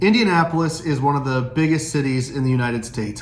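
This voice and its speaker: A man with a slight Southern Illinois accent at a fairly quick pace, fairly even in intonation, with audible room echo and noticeable background noise. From US Midwest, Southern Illinois. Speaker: pastor. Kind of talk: casual vlog talk. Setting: indoors, storm outside. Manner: halting, many fillers and restarts.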